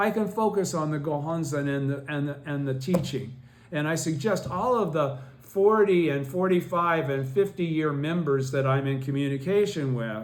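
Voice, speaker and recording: The speaker keeps a moderate pace with ordinary pitch variation. Room echo is audible. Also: man, fairly high pitch for a man. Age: 70s. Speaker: Buddhist study group teacher. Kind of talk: lecture. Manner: halting.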